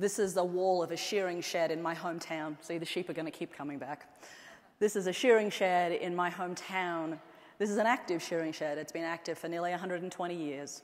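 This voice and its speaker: Someone with an Australian accent speaks at a fairly quick pace with fairly even intonation. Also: woman, fairly low pitch for a woman. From Australia, central and northern outback. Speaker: anthropologist and tech executive giving a keynote. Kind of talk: keynote speech. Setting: stage with audience.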